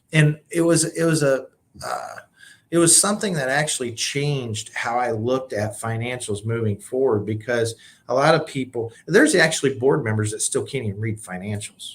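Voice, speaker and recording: A man's somewhat breathy, medium-pitched voice with an American accent at a moderate pace. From Illinois, US Midwest. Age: 50s. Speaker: nonprofit CEO and leadership coach. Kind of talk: podcast interview.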